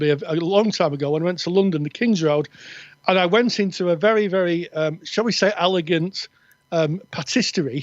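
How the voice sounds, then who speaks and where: Speech comes at a moderate pace in a northern English accent. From north of England.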